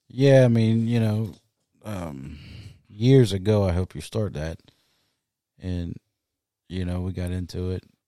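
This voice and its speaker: With a South Louisiana accent, a man speaks at a very deep, low pitch in a dark, mellow tone, at a fairly slow pace with long, frequent pauses, ordinary pitch variation and big swings in loudness. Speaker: podcast co-host. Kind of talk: casual chat. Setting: home studio.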